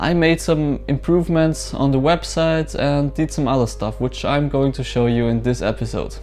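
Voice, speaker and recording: A man with a German accent at a moderate pace over music in the background. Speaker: small business owner, vlogger. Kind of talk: casual vlog walkthrough. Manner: hesitant, many fillers.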